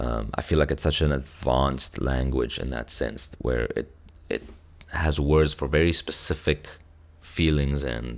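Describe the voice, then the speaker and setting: A man with a South African accent, very deep and low in pitch, at a fairly slow pace with vocal fry and fairly even intonation. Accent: South African (Afrikaans) English. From South Africa, Cape Town. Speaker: music reaction youtuber. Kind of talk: casual chat. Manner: halting.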